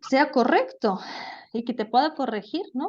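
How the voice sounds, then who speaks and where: With lively intonation, a woman delivers her words at a moderate pace. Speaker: language teacher. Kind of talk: lecture. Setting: video call.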